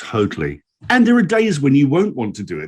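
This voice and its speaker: With a British accent, a man speaks at a fairly quick pace, his pitch swinging very widely. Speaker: former actor, communications coach, voice-over artist. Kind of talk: interview answer.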